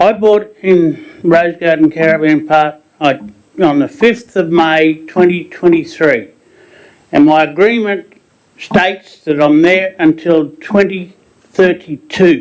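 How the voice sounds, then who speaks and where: Speaking with an Australian accent, a man talks at a very slow pace in a high pitch with ordinary pitch variation. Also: very even loudness. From Queensland, Australia. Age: 70s. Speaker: pensioner, caravan park resident. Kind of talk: public statement at council meeting.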